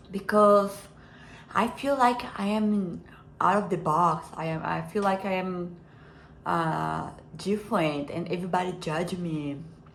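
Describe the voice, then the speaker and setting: In a non-native accent, the speaker goes at a fairly slow pace with long, frequent pauses and audible room echo. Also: woman, medium pitch for a woman, ordinary pitch variation. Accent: foreign accent, self-described as imperfect. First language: not English. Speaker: self-help vlogger. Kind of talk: personal reflection monologue. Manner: halting, many fillers and repeats.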